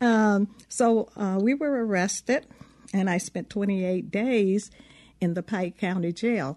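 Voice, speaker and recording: At a very slow pace and medium pitch, a woman with a Southern US accent speaks with a dark, mellow tone and ordinary pitch variation against a quiet background. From US South. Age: 70s. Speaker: civil rights veteran and memoir author. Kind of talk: interview. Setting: studio.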